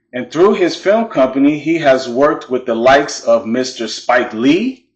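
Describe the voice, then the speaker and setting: Using a plain, everyday voice, a man talks at a moderate pace with lively intonation and a fairly high pitch. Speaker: channel host. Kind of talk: documentary profile narration.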